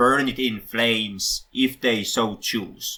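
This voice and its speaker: Speaking very slowly, a man talks with a Finnish accent. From Finland. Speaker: film podcast host. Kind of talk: casual podcast discussion. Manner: halting, many self-corrections.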